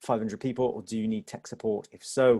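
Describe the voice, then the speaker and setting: The man's voice sits at medium pitch with a dark, mellow tone. He talks at a fairly quick pace. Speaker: theatre company performer. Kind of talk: webinar presentation. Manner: fast.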